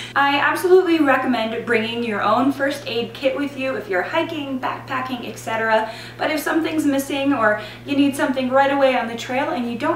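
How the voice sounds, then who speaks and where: At a fairly quick pace, a woman with a high pitch and ordinary pitch variation talks amid light background noise and audible room echo. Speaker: herbal blogger. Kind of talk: tutorial. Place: home room.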